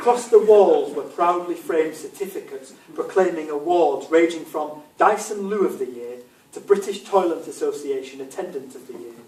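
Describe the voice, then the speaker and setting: A man with an English accent, against noticeable background noise. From England. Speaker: author. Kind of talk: reading aloud.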